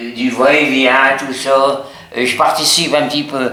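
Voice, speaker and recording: A man is speaking. There is audible room echo along with noticeable background noise. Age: 90s. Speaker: nursing home resident. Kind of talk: casual chat. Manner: halting.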